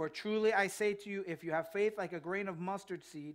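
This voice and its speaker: A man at a fairly quick pace, fairly even intonation, and a quiet background. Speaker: pastor. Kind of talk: sermon. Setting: church. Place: church.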